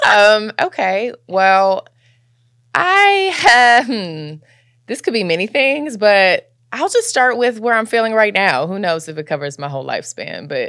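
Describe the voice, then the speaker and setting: The recording is very clean, with a silent background. A woman at medium pitch talks at a fairly slow pace in an animated tone. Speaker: podcast host, writing teacher. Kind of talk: casual chat. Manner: animated, expressive.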